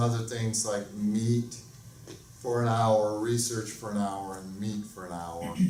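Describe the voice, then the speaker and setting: There is audible room echo as a man with a dark, mellow tone and fairly low pitch speaks at a fairly slow pace. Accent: American. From US South, Alabama. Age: 50s. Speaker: music professor. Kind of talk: lecture.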